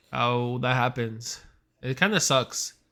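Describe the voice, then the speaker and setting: A man's bright, sharp tone at a medium pitch. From Puerto Rican family, grew up in US. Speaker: podcast co-host. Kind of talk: casual chat.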